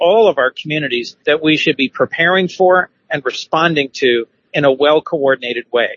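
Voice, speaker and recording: At a moderate pace and with ordinary pitch variation, a man talks in a plain, everyday voice at a fairly high pitch. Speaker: radio news reporter. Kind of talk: scripted radio news report. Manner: steady, formal reporting tone.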